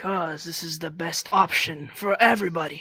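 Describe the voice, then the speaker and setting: A raspy put-on character voice moves at a moderate pace with fairly even intonation. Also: man. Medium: machinima. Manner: cold, curt.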